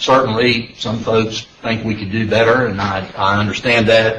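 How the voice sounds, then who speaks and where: A fairly slow man's voice in an American accent, with noticeable background noise. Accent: down-home drawl. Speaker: panel chair / transportation official. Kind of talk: public meeting chairing. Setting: public meeting room. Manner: hesitant with fillers.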